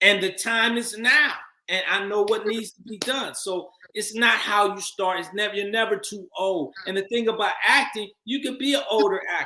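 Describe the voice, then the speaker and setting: A man speaks in a raised, projected voice at a high pitch and moderate pace, with ordinary pitch variation and big swings in loudness. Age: 50s. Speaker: actor and filmmaker. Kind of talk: interview.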